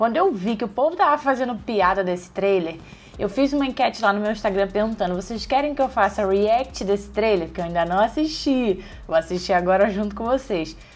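A woman's intonation is lively as she goes along at a moderate pace. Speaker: movie YouTuber. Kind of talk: casual vlog chat. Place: home room.

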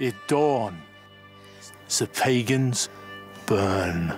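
A man with a fairly low pitch talks over clear music in the background. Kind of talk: biblical proclamation. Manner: mocking, menacing.

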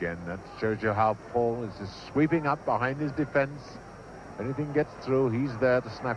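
A man speaks at a moderate pace in a plain, everyday voice, his pitch medium and its variation ordinary. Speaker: match commentator. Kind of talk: vintage live football match commentary. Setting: archive broadcast recording of a 1966 match. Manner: excited, rising to a shout at goals.

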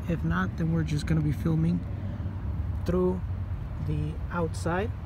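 A man with a very deep, low pitch and ordinary pitch variation at a moderate pace, in a dry sound with no echo, over noticeable background noise. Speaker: explorer vlogger. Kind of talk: casual vlog commentary. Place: street. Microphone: phone near.

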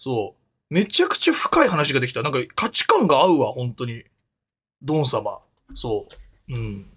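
A man talks at a moderate pace with long, frequent pauses. The background is quiet. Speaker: live streamer. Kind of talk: casual stream chat. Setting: home soundproof room. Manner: rambling with many fillers. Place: home room. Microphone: studio mic.

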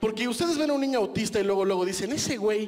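A man with a Mexican accent. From Mexico. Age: 30s. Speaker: stand-up comedian. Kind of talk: stand-up comedy set, rude and self-deprecating, crowd-laughter punchlines. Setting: stage with audience. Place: stage. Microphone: handheld.

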